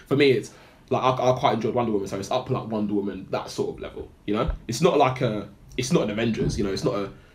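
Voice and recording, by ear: The speech is fast with few pauses and ordinary pitch variation, and audible room echo surrounds it. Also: man, fairly low pitch for a man.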